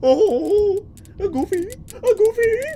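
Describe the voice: Over clear background noise, someone performs a put-on character voice at an extremely high pitch.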